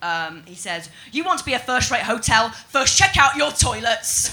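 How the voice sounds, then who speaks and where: Somewhat high female voice, middling in speed, amid clear background noise. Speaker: stand-up comedian. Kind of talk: stand-up. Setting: stage with audience.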